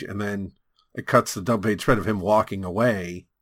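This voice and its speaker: Speaking at a fairly quick pace in an American accent, an unremarkable speaking voice comes through on a very clean recording with a silent background. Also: man. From US West Coast (California). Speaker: comic book podcast host. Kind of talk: casual chat.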